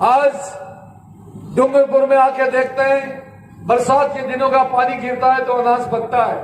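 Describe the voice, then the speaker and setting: With noticeable background noise behind him, a man speaks at an extremely high pitch in a monotone, flat intonation. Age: 60s. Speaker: politician. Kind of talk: political speech.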